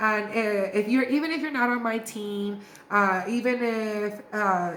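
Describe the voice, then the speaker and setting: A woman with a fairly high pitch speaks in an animated tone amid noticeable background noise and audible room echo. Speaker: beauty sales distributor / influencer. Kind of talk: training video monologue. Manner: fast.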